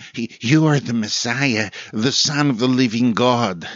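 The speaker is a man at medium pitch. He uses a put-on character voice. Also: fairly slow pace. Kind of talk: solemn, biblical. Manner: bold, earnest proclamation.

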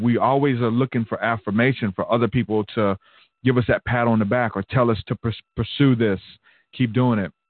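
This man has a plain, everyday voice with an American accent and a medium pitch. He talks at a fairly quick pace with fairly even intonation. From Alabama, US South. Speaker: podcast host. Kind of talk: casual chat, live stream conversation. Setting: live stream, home.

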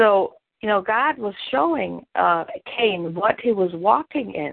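A woman speaks with a German accent at a medium pitch. Her pace is fairly slow. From Germany. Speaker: pastor. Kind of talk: sermon.

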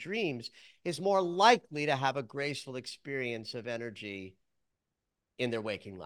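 A man with a plain, everyday voice speaks at a moderate pace and fairly high pitch, his intonation lively. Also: very clean recording, silent background. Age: 60s. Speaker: psychologist and dream interpreter. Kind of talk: interview.

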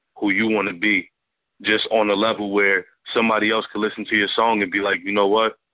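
Intonation stays monotone and flat. The man speaks at a fairly quick pace. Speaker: rapper. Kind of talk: interview.

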